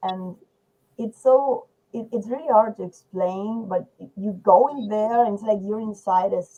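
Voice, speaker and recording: A woman with a Spanish accent speaks at a very slow pace with fairly even intonation. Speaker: poet. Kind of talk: poetry discussion. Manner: halting.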